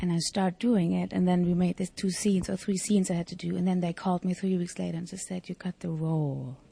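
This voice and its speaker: A woman speaks at a very fast pace with hardly any pauses and fairly even intonation. Her somewhat breathy voice has a dark, mellow tone in a very clean recording with a silent background. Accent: German. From East Germany. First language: German. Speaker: actress. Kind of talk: interview. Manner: halting.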